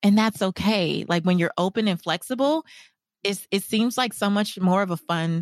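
In an unremarkable speaking voice with ordinary pitch variation, a woman talks at a moderate pace, the sound dry and close with no echo over a quiet background. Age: 40s. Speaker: financial coach and author. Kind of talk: casual interview chat.

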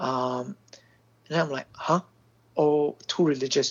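Someone talks at a moderate pace with a Singaporean accent. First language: Mandarin Chinese. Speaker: film director. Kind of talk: interview. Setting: phone call.

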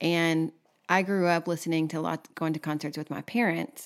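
On a very clean recording with a silent background, a woman speaks with a Texan accent. Her pitch is fairly low, her pace moderate and her intonation fairly even. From Texas. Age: 30s. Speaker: podcast co-host. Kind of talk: casual chat.

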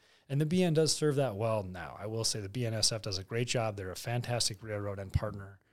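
A man's fairly low voice at a very fast pace, on a very clean recording with a silent background. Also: ordinary pitch variation. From North Dakota. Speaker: grain company general manager. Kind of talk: podcast interview on grain markets.

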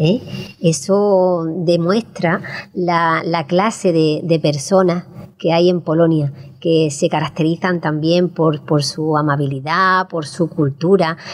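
A woman talks at a very slow pace. Her fairly low voice keeps a fairly even intonation. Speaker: radio host. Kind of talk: radio magazine chat. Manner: halting, repeats words.

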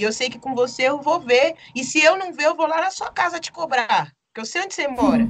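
Talking at a fairly quick pace, a woman uses a high pitch, lively intonation and big swings in loudness. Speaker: documentary director and photographer. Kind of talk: interview.

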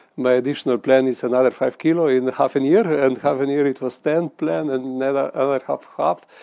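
In a Slovenian accent, a man talks at a fairly quick pace with a medium pitch and a dark, mellow tone. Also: ordinary pitch variation. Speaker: member of the European Parliament. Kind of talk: panel discussion. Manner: halting.

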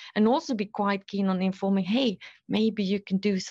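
Against a quiet background, a woman speaks at a fairly quick pace in a normal speaking voice, her pitch medium. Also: dry, close sound with no echo. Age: 50s. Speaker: HR executive. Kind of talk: interview.

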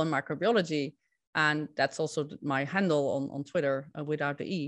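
In a Dutch accent, a woman speaks at a very deep, low pitch, the sound dry and close with no echo against a quiet background. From Netherlands. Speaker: scientific integrity consultant. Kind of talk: interview.

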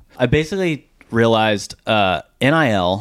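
With lively intonation and a fairly low pitch, a man with an American accent uses an ordinary speaking voice. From Dallas, Texas. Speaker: brand marketing founder. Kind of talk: interview. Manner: casual.

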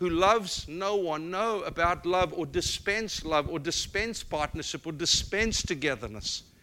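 The speech moves at a fairly slow pace with hardly any pauses, carrying lively intonation and a bright, sharp tone. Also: man. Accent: South African. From South Africa. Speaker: guest preacher. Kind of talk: sermon. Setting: church.

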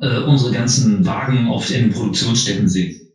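Amid noticeable background noise and audible room echo, a man at a medium pitch speaks at a moderate pace. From Harz, Saxony-Anhalt, Germany. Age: 30s. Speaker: field engineer. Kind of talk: casual chat.

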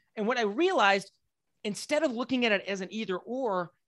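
Energetic in tone, a man talks with an American accent. The sound is dry and close with no echo against a quiet background. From West Texas, Lubbock. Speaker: business coach. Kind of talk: interview.

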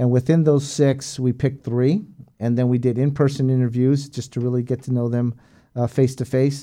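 A man with an American accent speaks at a fairly quick pace in a medium pitch and dark, mellow tone. His intonation is monotone and flat over a quiet background. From San Diego, California. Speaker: hotel general manager and Air Force veteran. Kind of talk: interview.

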